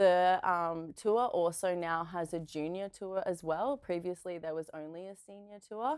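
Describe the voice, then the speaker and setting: A woman with an Australian accent speaks at a fairly low pitch with big swings in loudness, on a very clean recording with a silent background. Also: ordinary pitch variation, fairly slow pace. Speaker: pro beach volleyball player and physiotherapist. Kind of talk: casual interview. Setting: studio.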